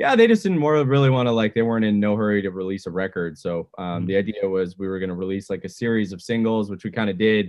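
A man with a Canadian accent and a fairly low pitch talks at a very fast pace with hardly any pauses and ordinary pitch variation. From Edmonton, Canada. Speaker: musician, band frontman. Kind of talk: interview.

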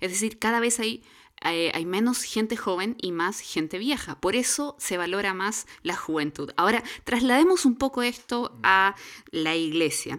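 Over a very clean recording with a silent background, a woman with an unremarkable speaking voice talks fairly slowly at medium pitch with lively intonation. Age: middle-aged. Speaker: church podcast co-host. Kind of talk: casual chat.

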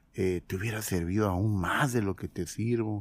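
A man with an ordinary speaking voice talks at a fairly slow pace and a fairly low pitch. His pitch variation is ordinary, and the recording is very clean with a silent background. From Mexico. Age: 50s. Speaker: former pastor. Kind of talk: testimony.

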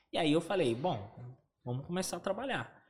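With lively intonation, a man uses an ordinary speaking voice pitched fairly high. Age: 30s. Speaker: online seller. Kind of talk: casual chat.

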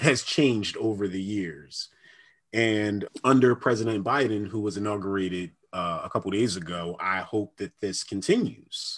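Over a silent background on a very clean recording, a man with an American accent talks at a moderate pace in a plain, everyday voice, fairly low in pitch with ordinary pitch variation. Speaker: podcast co-host. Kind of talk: casual chat.

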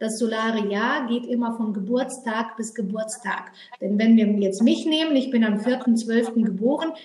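Audible room echo surrounds a woman's fairly high-pitched voice. She speaks at a fairly slow pace with fairly even intonation. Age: 30s. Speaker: numerologist. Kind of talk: interview. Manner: hesitant fillers.

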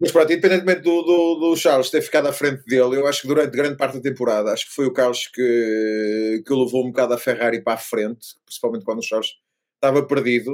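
A man speaks very fast in a European Portuguese accent, with hardly any pauses. His pitch is medium, with ordinary variation. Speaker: F1 podcast co-host. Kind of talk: casual chat. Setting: remote recording.

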